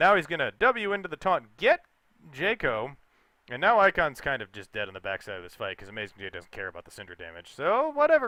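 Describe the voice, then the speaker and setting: A man at a fairly quick pace, with vocal fry and very wide pitch swings. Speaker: esports caster. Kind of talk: live commentary. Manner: loud; fast. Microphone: mic close, breathing audible.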